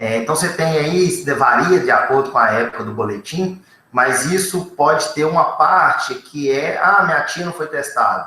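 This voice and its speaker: This is an ordinary speaking voice with lively intonation. It moves at a moderate pace with hardly any pauses. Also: man, fairly high pitch for a man. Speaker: researcher on covid testing. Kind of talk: panel discussion answer.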